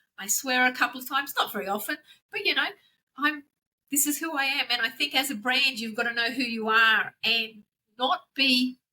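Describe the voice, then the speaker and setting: A woman with an Australian accent uses a raised, projected voice at a high pitch. Her tone is bright and sharp, with ordinary pitch variation. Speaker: branding consultant. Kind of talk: casual interview. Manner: fast.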